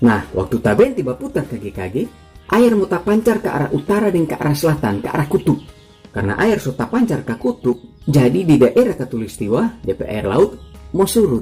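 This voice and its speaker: Over music in the background, a man in a Manado accent speaks at a fairly high pitch with very wide pitch swings. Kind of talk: casual science explainer narration. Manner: humorous, chatty.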